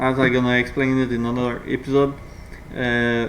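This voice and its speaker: A man speaks at a medium pitch in a monotone, flat way. Room echo is audible. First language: not English. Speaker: gaming video creator. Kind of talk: gameplay commentary tutorial. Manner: halting, many fillers.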